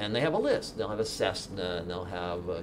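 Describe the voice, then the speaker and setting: With an American accent, a man speaks at a very deep, low pitch against noticeable background noise. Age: 60s. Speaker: software developer and keynote speaker; keynote speaker. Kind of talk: keynote talk. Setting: stage with audience. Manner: animated. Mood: relaxed, humorous storytelling. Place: meeting room.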